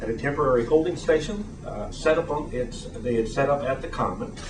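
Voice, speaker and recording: A man's fairly high voice, lively in intonation and fairly quick, with audible room echo and noticeable background noise. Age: 60s. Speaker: attorney and advocacy group founder. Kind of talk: prepared statement at a press event. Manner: formal.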